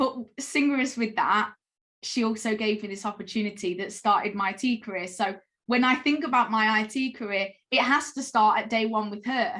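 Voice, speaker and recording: At a moderate pace, a woman with a fairly high pitch uses a plain, everyday voice with ordinary pitch variation. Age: 30s. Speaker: cloud sales specialist. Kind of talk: interview.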